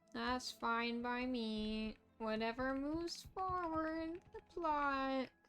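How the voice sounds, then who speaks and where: Against noticeable background noise, a woman with a high voice speaks at a very slow pace with lively intonation. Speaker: game streamer. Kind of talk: live gameplay commentary.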